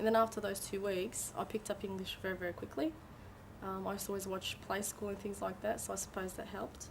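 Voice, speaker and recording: A woman's medium-pitched voice at a very fast pace, with fairly even intonation. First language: Turkish. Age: 20s. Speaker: migrant interviewee. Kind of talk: interview testimony.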